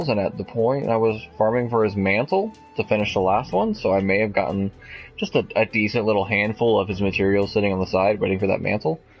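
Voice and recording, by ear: A man with a fairly low pitch at a very fast pace, fairly even intonation and very even loudness, music in the background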